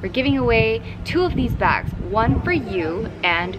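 A woman at a fairly slow pace, music playing in the background. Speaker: vlogger. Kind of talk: casual vlog chat, giveaway announcement. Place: street.

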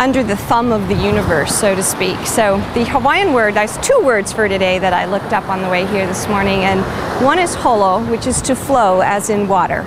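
Clear background noise, with few pauses in the speech. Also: woman, medium pitch for a woman, ordinary pitch variation, moderate pace.

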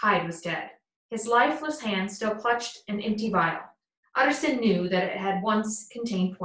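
Plain reading aloud fills the clip, its intonation fairly even. Nothing much stirs in the quiet background.

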